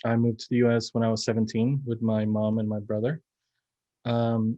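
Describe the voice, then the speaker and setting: Speaking fairly quickly with a Spanish accent, a man has a dark, mellow tone at a medium pitch. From Mexico, Monterrey. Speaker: filmmaker. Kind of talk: panel discussion.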